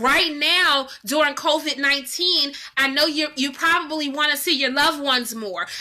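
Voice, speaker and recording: Over noticeable background noise, a high-pitched woman uses a raised, projected voice with an animated tone, ordinary pitch variation and a moderate pace. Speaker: online marketing coach. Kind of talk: live stream teaching.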